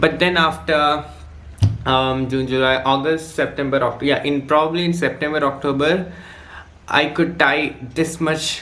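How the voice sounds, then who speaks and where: A man with an Indian accent speaks at a fairly slow pace, leaving long, frequent pauses. Audible room echo surrounds his voice. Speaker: student vlogger. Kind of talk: casual vlog story time. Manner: halting, many fillers.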